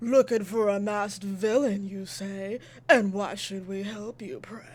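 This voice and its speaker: This gruff, put-on character voice sits at a fairly high pitch and keeps a moderate pace. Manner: accidentally flirty, seductive.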